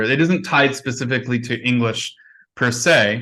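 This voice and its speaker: Against a quiet background, a man speaks at a medium pitch and moderate pace, his tone bright and sharp and his pitch varying in an ordinary way. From Canada. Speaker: conference plenary speaker. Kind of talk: conference Q&A answer.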